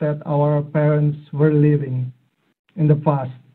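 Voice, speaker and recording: A man with an Indonesian accent talks at a very slow pace. His pitch is fairly high. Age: 40s. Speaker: AI and robotics expert speaker. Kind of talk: online talk. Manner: hesitant, many fillers. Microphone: too quiet, headset.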